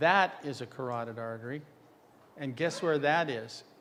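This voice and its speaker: Heard with audible room echo, a man speaks at a fairly high pitch with ordinary pitch variation. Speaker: dental radiology lecturer. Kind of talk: conference lecture. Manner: fast.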